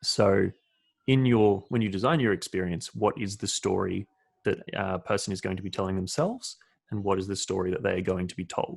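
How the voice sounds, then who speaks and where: At a fairly quick pace, a man with an ordinary speaking voice talks in a fairly low pitch with ordinary pitch variation. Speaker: experience designer. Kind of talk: interview answer.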